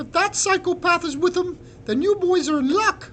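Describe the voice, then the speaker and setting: A squeaky, extremely high put-on character voice moves at a moderate pace over clear background noise. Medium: read story. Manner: teasing, brash.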